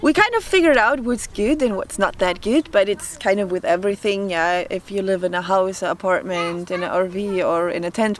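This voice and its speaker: A woman speaks with a German accent at a medium pitch. Noticeable background noise runs underneath. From Germany. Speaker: vlogger. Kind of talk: casual chat. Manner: hesitant.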